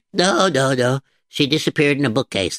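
A man performs a put-on character voice. His medium pitch carries lively intonation. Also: fairly quick pace. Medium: read story. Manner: stammering, nervous.

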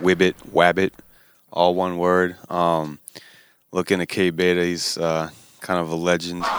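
The man's voice is very deep and low. He talks at a fairly slow pace. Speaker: podcast host. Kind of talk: casual chat.

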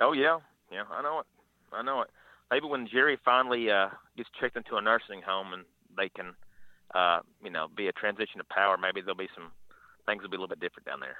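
In an Arkansas accent, a man rushes at a very fast pace, his fairly low voice showing ordinary pitch variation, big swings in loudness and long, frequent pauses. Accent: Southern US (Arkansas). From northeast Arkansas (Paragould area). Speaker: radio caller. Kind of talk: casual sports talk call-in. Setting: phone call.

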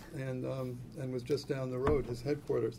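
Somewhat breathy, a man talks at a medium pitch. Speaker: magazine editor and political writer. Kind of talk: lecture. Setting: stage with audience.

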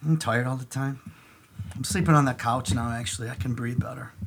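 Speaking very fast in a put-on character voice, a man sounds wheezy at a mid-range pitch.

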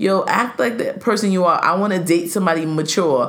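Noticeable background noise runs beneath speech that moves at a fairly quick pace. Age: 40s. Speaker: podcast co-host. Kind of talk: casual chat.

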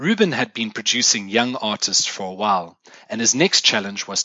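The speaker has a South African accent and ordinary pitch variation. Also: man. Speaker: music podcast host. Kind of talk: scripted solo podcast monologue. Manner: formal.

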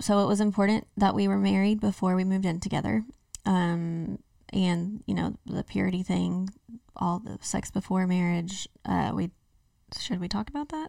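With an American accent, a woman speaks in a dark, mellow tone at a moderate pace, leaving long, frequent pauses. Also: medium pitch for a woman, ordinary pitch variation. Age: 30s. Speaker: podcast co-host. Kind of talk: casual chat.

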